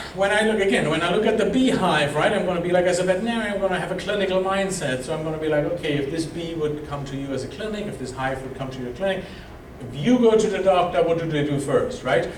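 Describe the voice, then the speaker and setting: A man with a high pitch and a German accent talks at a very fast pace in an animated tone. Audible room echo and noticeable background noise come through. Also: ordinary pitch variation. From Germany. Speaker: veterinarian and bee researcher. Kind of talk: lecture. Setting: club meeting with slides.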